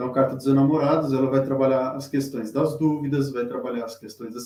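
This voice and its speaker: In a dark, mellow tone, a man with a fairly high pitch speaks with fairly even intonation. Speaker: tarot reader. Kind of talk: live-stream lecture. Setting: live stream with chat. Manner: halting, many fillers.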